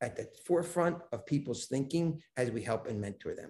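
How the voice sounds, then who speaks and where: A man speaks at a medium pitch with vocal fry and a dark, mellow tone. His intonation is lively. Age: 50s. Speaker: business coach and mentor. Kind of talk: podcast interview.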